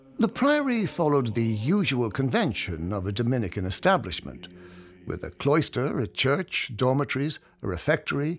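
A man with a plain, everyday voice, medium pitch and moderate pace, on a very clean recording with a silent background. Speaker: audio tour guide narrator. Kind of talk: scripted heritage-trail narration, reading prepared history to a walking listener. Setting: studio-recorded audio guide. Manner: measured, evenly paced storytelling with place-name detail; warm, inviting tone for a self-guided tour.

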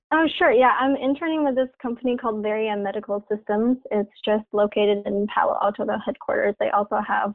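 In a Mandarin accent, a woman speaks with a fairly high pitch. Her pace is moderate and her intonation fairly even. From China (Tianjin). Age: 20s. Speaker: PhD student in computer science. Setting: phone call.

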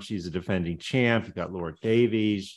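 A plain, everyday voice from a man at medium pitch, fairly quick in pace, with ordinary pitch variation, against a quiet background. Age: 60s. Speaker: podcast host. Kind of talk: interview.

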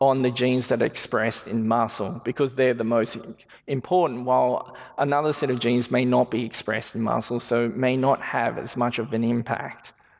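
With an Australian accent, a man talks at a fairly quick pace and medium pitch, his intonation fairly even, over noticeable background noise. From Western Sydney, Australia. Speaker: genetics researcher. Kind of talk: public lecture. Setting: stage with audience.

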